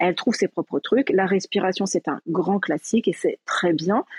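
A woman speaks in a normal speaking voice at medium pitch, with a dry, close sound and no echo. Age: 40s. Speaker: educational psychologist. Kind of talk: casual chat. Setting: live audio room.

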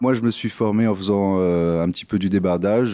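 A man's very deep, low voice comes at a moderate pace with fairly even intonation, dry and close with no echo over a quiet background. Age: 30s. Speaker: organic vegetable farmer. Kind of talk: interview. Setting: farmhouse kitchen.

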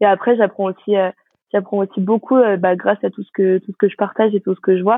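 A woman speaks fairly quickly at medium pitch in a monotone, flat intonation, with big swings in loudness. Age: 20s. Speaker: business school student. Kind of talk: interview.

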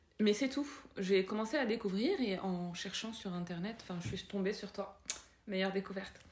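Noticeable background noise accompanies a woman whose pitch variation is ordinary. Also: medium pitch for a woman, moderate pace. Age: 30s. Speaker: parenting influencer. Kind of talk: casual interview. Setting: home. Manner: halting.

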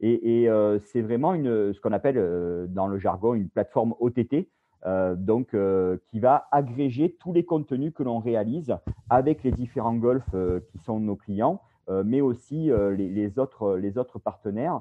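Talking fairly slowly, a man uses lively intonation. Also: medium pitch for a man. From Bouches-du-Rhône, southeastern France. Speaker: video production company founder, former sports journalist. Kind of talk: interview. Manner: hesitant, many repetitions.

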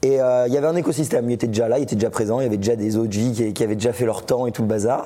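A man speaks very fast at a medium pitch with fairly even intonation. The room has an audible echo. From France. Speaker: Bitcoin educator and YouTuber. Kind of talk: casual interview. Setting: at a conference in Biarritz.

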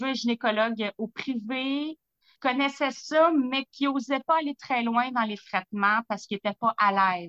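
With a Quebec accent, a woman speaks at a fairly slow pace and a fairly high pitch with ordinary pitch variation, her sound dry and close with no echo against a quiet background. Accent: Québécois French. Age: 40s. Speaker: lab technician sharing health testimony. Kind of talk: testimony.

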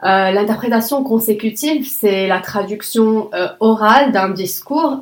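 A woman's fairly high voice at a very slow pace, with an Arabic accent and lively intonation. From Lebanon. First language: Arabic (speaking French). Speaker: conference interpreter. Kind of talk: interview.

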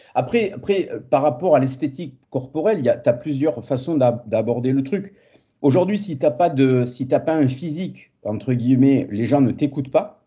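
A man speaks at a fairly slow pace in a fairly high, somewhat breathy voice with ordinary pitch variation. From southern France, Montpellier. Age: 40s. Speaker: fitness entrepreneur and former karate champion. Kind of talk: casual interview.

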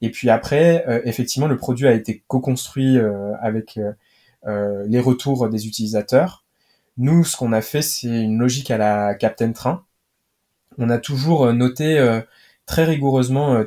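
With ordinary pitch variation, a man speaks with long, frequent pauses. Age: 20s. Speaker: startup cofounder. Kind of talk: interview.

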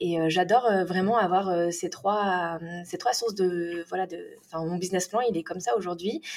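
At a fairly slow pace, a woman speaks. Her pitch is medium, with ordinary pitch variation. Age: 30s. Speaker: UGC content creator. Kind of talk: casual interview chat. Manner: hesitant, many fillers and repetitions.

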